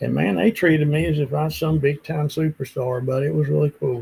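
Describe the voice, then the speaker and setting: A somewhat breathy man speaks in an Appalachian accent. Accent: Appalachian Southern American. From West Virginia. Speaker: country singer-songwriter. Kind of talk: casual interview answer.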